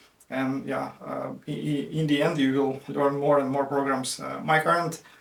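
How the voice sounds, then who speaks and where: Over noticeable background noise, a man with a fairly high voice talks at a moderate pace with fairly even intonation. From Ukraine, Dnipro. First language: Russian and Ukrainian. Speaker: IT worker and language learner. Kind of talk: casual explainer video. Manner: halting, many fillers.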